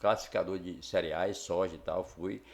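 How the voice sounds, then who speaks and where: A man at a fairly slow pace. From Brazil, Tocantins (Miracema). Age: 60s. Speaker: local businessman and former truck driver. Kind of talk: podcast interview. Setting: studio.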